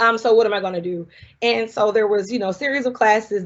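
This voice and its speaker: In a Southern US accent, a woman talks very fast with ordinary pitch variation. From US South, South Carolina. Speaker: scientist. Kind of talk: public talk. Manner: casual, conversational.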